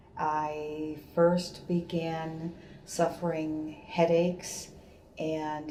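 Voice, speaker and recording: A woman with a very deep, low pitch talks in a monotone, flat intonation amid audible room echo and noticeable background noise. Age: 60s. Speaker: patient. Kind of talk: testimony.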